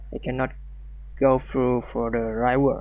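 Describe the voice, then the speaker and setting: In a non-native accent, a man is talking. He goes at a very slow pace. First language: not English. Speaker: programming tutorial creator. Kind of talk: tutorial. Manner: halting, many fillers and restarts.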